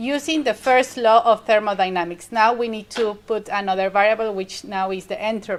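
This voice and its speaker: With a Spanish accent, a woman talks at a moderate pace. Her pitch is fairly high. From Mexico. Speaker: university lecturer. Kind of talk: lecture.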